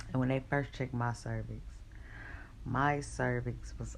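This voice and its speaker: Audible room echo fills the recording as the voice moves at a moderate pace. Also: woman. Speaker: vlogger. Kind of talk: personal storytelling vlog. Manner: casual, hesitant with fillers.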